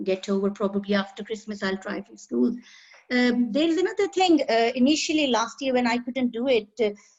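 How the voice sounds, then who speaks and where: A woman with a Pakistani accent speaks fairly quickly in a somewhat breathy voice at a fairly high pitch. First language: Urdu. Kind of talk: casual chat.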